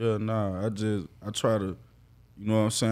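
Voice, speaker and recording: A man's normal speaking voice, fairly low in pitch, at a fairly quick pace with fairly even intonation. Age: 20s. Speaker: barber. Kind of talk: casual interview chat.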